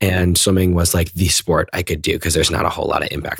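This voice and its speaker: A man's very deep, low voice with a General American accent, very fast pace, dry close sound with no echo and noticeable background noise. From US, northern Virginia (McLean, near DC). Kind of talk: interview.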